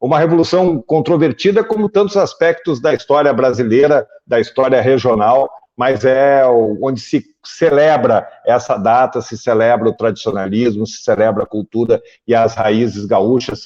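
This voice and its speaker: A man speaks with a strong gaúcho accent and lively intonation. His tone is dark and mellow. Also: medium pitch for a man, moderate pace. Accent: thick gaúcho. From southern Brazil, Porto Alegre. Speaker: journalist, interview show host. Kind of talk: political interview show.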